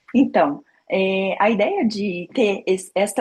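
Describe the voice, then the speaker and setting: A woman speaks in a somewhat breathy voice. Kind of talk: informal faith talk.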